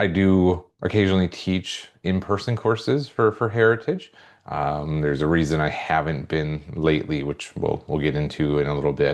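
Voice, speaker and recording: A man with a very deep, low pitch, fairly slow pace and ordinary pitch variation. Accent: Midwestern. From US Midwest, central Minnesota. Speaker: psychology professor. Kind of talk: course introduction video. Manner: casual with many fillers.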